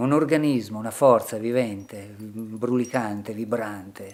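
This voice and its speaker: A man speaks at a very slow pace, with fairly low pitch and fairly even intonation. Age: 60s. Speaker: painter. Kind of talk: reflective monologue in short film.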